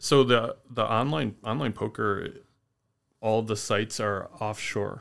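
In a very clean recording with a silent background, the speaker talks fairly slowly with an American accent and fairly even intonation. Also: man, medium pitch for a man. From upstate New York. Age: 40s. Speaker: trading card shop owner. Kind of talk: casual interview chat. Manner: soft-spoken, deadpan.

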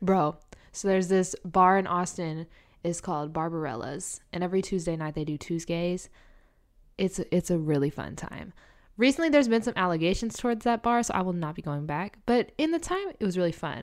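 A woman of medium pitch with a Southern US accent, fairly quick and with lively intonation, on a very clean recording with a silent background. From US South. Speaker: flight attendant. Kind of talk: casual chat.

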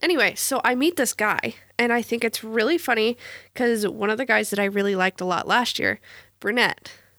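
In a very clean recording with a silent background and a dry, close sound with no echo, a woman speaks fairly quickly in a bright, sharp tone at very even loudness. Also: fairly high pitch for a woman, ordinary pitch variation. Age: 20s. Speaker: podcast co-host, student. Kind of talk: casual chat.

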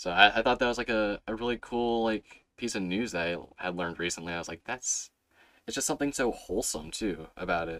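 Speaking very fast, a man uses a fairly low pitch, a bright, sharp tone, and ordinary pitch variation. It is a very clean recording with a silent background. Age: 20s. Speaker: podcast host. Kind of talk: casual chat.

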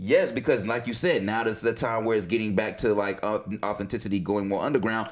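A man of medium pitch speaks very fast with an American accent and fairly even intonation. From North Carolina. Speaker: podcast co-host. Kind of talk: casual chat.

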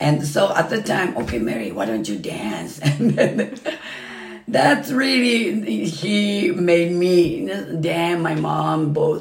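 Speaking very slowly with a Japanese accent, a woman has a fairly low pitch and very wide pitch swings. Noticeable background noise sits behind her. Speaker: Japanese dance instructor. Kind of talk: casual interview. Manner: halting, rambling.

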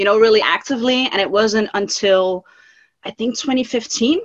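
At a moderate pace and fairly high pitch, a woman speaks with a Dutch accent and ordinary pitch variation. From Netherlands. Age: 40s. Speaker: band fan community creator. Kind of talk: casual interview chat.

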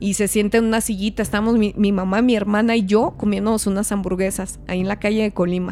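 Over music in the background, the speech races at a very fast pace with hardly any pauses and a monotone, flat intonation. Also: woman, medium pitch for a woman. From Mexico, Chihuahua. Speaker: podcast host. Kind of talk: casual chat. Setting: studio.

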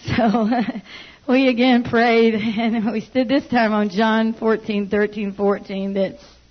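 Noticeable background noise beneath a monotone, flat intonation. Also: woman. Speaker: church member giving testimony. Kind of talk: testimony. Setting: church.

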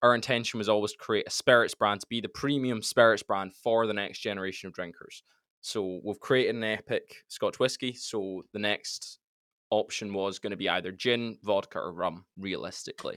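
At a moderate pace, a man with an ordinary speaking voice talks at a fairly low pitch with fairly even intonation, in a very clean recording with a silent background. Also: dry, close sound with no echo. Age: young. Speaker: spirits company founder. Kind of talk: interview.

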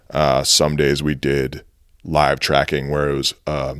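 At a moderate pace, a man talks with vocal fry in a very deep, low voice. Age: 30s. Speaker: nurse and musician. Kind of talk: casual interview.

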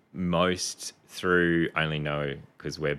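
In a very clean recording with a silent background, a man with a very deep, low pitch and a bright, sharp tone talks at a fairly slow pace with ordinary pitch variation. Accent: Australian. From Canberra, Australia. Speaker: physiotherapist. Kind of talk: interview conversation.

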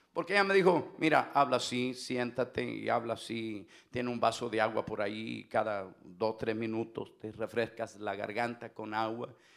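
With hardly any pauses, a man speaks at a moderate pace in an animated tone, medium in pitch with ordinary pitch variation. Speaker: pastor. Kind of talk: sermon. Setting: church. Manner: loud.

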